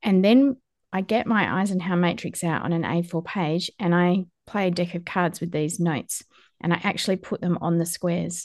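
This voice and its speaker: Fairly low-pitched woman's voice with an Australian accent, fairly even intonation, moderate pace and a quiet background. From Western Australia. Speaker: podcast host and farmer. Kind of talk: interview podcast; scripted narration.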